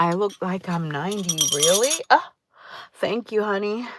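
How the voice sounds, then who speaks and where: The woman here speaks at a fairly slow pace. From Jamaica, raised in Connecticut. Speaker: YouTube live streamer. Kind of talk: casual live stream chat.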